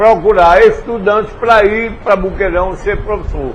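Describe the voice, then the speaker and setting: Noticeable background noise and audible room echo surround a man whose high voice shows ordinary pitch variation. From Brazil, Paraíba sertão (Pombal). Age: 70s. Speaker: former politician. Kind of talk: interview.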